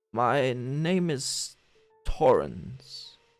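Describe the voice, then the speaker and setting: Faint music plays in the background as a man uses a put-on character voice at a fairly high pitch. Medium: actual play. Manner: seething with rage.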